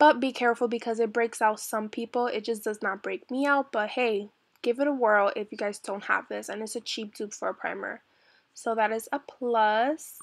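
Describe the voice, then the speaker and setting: A woman with an ordinary speaking voice and a fairly high pitch keeps her intonation fairly even and her speed moderate. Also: very clean recording, silent background. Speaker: makeup vlogger. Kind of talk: tutorial. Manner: casual.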